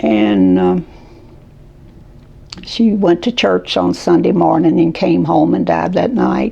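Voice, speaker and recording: A woman speaks at a very slow pace with noticeable background noise. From Kentucky. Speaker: caregiver. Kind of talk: interview answer.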